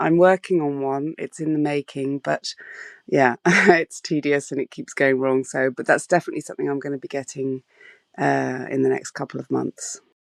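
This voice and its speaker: With a dry, close sound and no echo, a woman speaks at a moderate pace over a quiet background, her loudness swinging widely. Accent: southern English. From southwest England (Bath). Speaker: street photographer. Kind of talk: interview. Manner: hesitant, many fillers.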